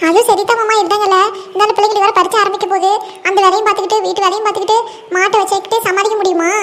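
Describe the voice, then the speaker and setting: A woman puts on a cartoonish character voice at an extremely high pitch, talking at a very fast pace with monotone, flat intonation and very even loudness. Clear background noise is present. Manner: chatty, affectionate.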